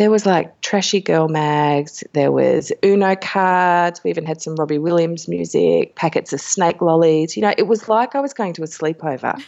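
At a moderate pace and a fairly low pitch, a woman talks with ordinary pitch variation and hardly any pauses. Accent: Australian. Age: 40s. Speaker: birth educator and magazine editor. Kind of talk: interview.

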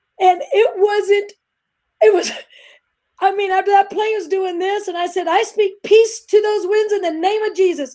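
Loud speech at a moderate pace. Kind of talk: testimony. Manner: animated.

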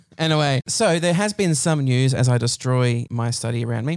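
A man with an Australian accent speaks at medium pitch with ordinary pitch variation, recorded very cleanly over a silent background. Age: 30s. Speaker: podcast host. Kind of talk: casual chat. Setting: home study.

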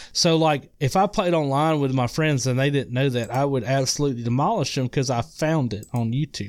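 A man with a Southern US accent speaks at a fairly quick pace with hardly any pauses, his pitch fairly high and its variation ordinary. The recording is very clean, with a silent background. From Mississippi. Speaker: guest gamer. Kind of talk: casual chat.

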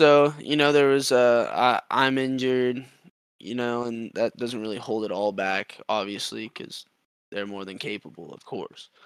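An ordinary speaking voice with an American accent moves at a fairly slow pace, with big swings in loudness, ordinary pitch variation, and a dry, close sound with no echo. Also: man, medium pitch for a man. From Texas, Austin. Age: 20s. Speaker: semipro paintball player. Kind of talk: casual interview chat.

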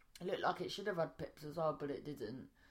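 Her pitch moves in an ordinary way. This woman speaks with a British accent. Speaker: podcast host. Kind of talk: casual chat. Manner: rambling, halting.

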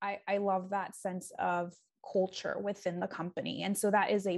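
In a quiet background, a woman with a normal speaking voice talks at a moderate pace, her medium pitch showing ordinary pitch variation. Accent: American. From San Diego, California. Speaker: executive assistant. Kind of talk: casual interview chat.

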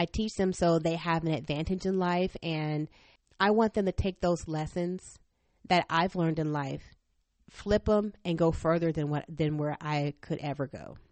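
With a plain, everyday voice, a woman speaks at a fairly low pitch and moderate pace with fairly even intonation. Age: 40s. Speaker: podcast host, homeschooling mother. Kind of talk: faith and family monologue.

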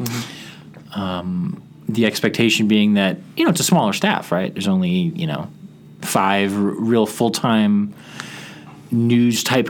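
A man with an American accent talks with lively intonation, his voice carrying audible room echo and noticeable background noise. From Chicago suburbs, US Midwest. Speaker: radio reporter. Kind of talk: interview. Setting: studio. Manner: conversational.

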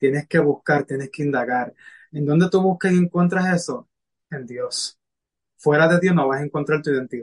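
A man speaks at a moderate pace in a fairly high pitch, somewhat breathy. His intonation is fairly even, and the sound is dry and close with no echo. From Puerto Rico. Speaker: spiritual mentor and medical interpreter. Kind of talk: casual interview.

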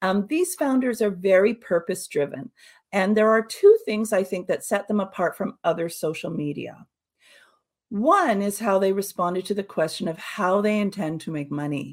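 Speaking with a Canadian accent, a woman has a normal speaking voice, a medium pitch, ordinary pitch variation and a moderate pace. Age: 50s. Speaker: social audio consultant. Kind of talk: webinar presentation. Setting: online webinar.

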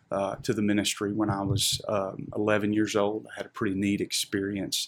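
A man with a Southern US accent talks at a fairly low pitch with monotone, flat intonation. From Arkansas, Little Rock area. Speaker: pastor. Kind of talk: interview testimony.

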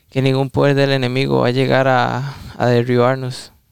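Moderate-paced speech from a man, dry and close with no echo. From Costa Rica, San José. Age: 20s. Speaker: young churchgoer. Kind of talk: prayer.

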